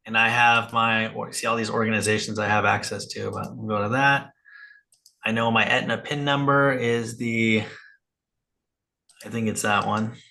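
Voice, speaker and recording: With long, frequent pauses and audible room echo, a man talks in a bright, sharp tone and monotone, flat intonation. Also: medium pitch for a man. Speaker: psychiatric nurse practitioner and practice coach. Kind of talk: live group coaching call. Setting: video call with screen share. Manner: fast.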